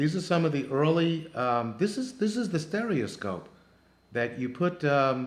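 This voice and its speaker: A man at a moderate pace, lively intonation and audible room echo. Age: 60s. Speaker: travel show host. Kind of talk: narrated photo slideshow. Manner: halting, many fillers.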